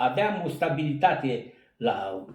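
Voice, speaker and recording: A man speaks with very wide pitch swings, and audible room echo surrounds his voice. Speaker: retired coal miner. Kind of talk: storytelling interview. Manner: animated.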